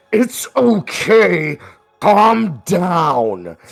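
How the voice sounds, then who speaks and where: The speaker is a man using a put-on character voice. He pitches it high. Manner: calm, reassuring undertone of anger.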